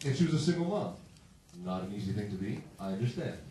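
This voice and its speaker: Talking at a very fast pace with very wide pitch swings, a man with a medium-pitched voice is heard amid noticeable background noise and audible room echo. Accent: American. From Massachusetts. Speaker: stand-up comedian. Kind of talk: stand-up. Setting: stage with audience.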